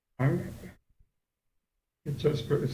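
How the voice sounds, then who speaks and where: The talking is rather unhurried. An echo from the room can be heard. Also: man. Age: 80s+. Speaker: local resident. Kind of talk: public comment.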